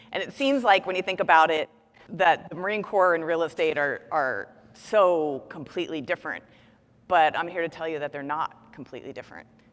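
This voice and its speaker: A woman with a plain, everyday voice and an American accent talks at a fairly quick pace and a fairly low pitch, with ordinary pitch variation and big swings in loudness. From New Jersey. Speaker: real estate executive and keynote speaker. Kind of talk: keynote speech. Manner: casual, conversational.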